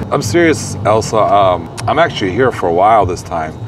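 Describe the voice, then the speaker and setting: A man speaks with an American accent. Noticeable background noise is present. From California. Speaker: interviewer, truck driver; interviewer. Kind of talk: interview. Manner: casual. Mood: earnest, caring, persuasive. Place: street.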